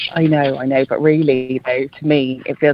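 Against noticeable background noise, a woman talks in a very deep, low voice with fairly even intonation. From Ireland, Dublin. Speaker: ceramic designer. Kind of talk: interview. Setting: phone call.

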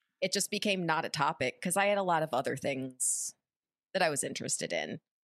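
In a dry, close recording with no echo, a woman with vocal fry talks at a moderate pace with ordinary pitch variation. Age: 30s. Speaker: actress and streamer. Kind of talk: casual chat.

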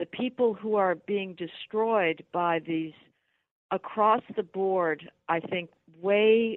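A woman's medium-pitched voice, very slow, with ordinary pitch variation. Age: 60s. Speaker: policy writer. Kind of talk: radio interview. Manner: animated.

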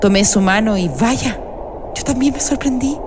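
A woman's gentle tone with lively intonation against noticeable background noise. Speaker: storyteller narrator. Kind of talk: dramatic storytelling narration, first person as the nutcracker. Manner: animated, expressive, shifts tone for characters; gentle, wistful, nostalgic.

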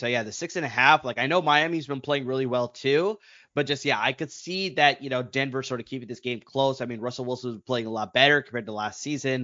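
Barely stopping, a man rattles along at a very fast pace with hardly any pauses, at a medium pitch with ordinary pitch variation. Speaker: fantasy football podcast co-host. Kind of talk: casual chat.

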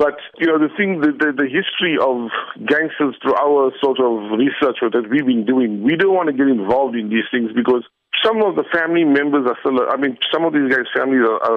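Medium in pitch, a man has a plain, everyday voice. He talks at a fairly quick pace with ordinary pitch variation. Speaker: local history group founder. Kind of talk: recorded phone comment.

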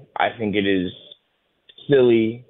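A man with an unremarkable speaking voice and a medium pitch. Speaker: basketball podcaster and writer. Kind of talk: casual chat.

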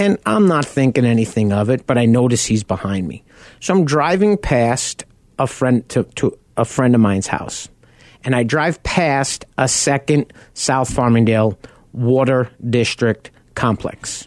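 A man with a Long Island accent, medium pitch and lively intonation at a fairly slow pace, in a dry, close sound with no echo. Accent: New York (Long Island). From Long Island, New York. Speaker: car buying advocate and radio host. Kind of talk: radio talk show monologue. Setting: radio studio.

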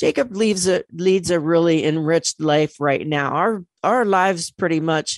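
Against a quiet background, a woman with a fairly low pitch talks in an ordinary speaking voice, with a dry, close sound and no echo. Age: 60s. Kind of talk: radio interview.

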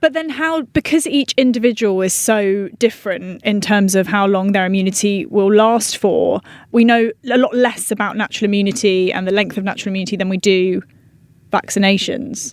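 Fairly quickly, a woman speaks at medium pitch with ordinary pitch variation. It is a normal speaking voice. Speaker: podcast host and health journalist. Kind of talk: conversational interview and discussion.

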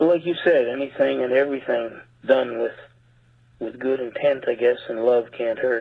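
A man speaks at a moderate pace in a normal speaking voice, medium in pitch, with fairly even intonation. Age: 50s. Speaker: caller, musician. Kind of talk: voicemail message. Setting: phone call.

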